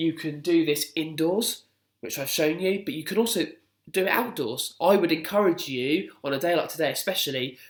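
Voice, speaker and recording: This man has an ordinary speaking voice with fairly high pitch. He talks at a fairly quick pace with ordinary pitch variation. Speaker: primary school PE teacher. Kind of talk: instructional video for pupils.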